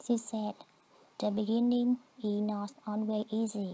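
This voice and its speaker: A woman's fairly high, somewhat breathy voice with a dark, mellow tone and a Vietnamese accent, at a fairly slow pace. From southern Vietnam. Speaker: immigrant storyteller. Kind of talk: scripted narration.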